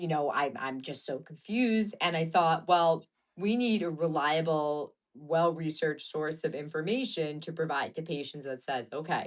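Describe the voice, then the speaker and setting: Over a quiet background, a woman with a very deep, low pitch speaks at a moderate pace with ordinary pitch variation. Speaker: fertility doctor. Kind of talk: interview conversation. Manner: loud.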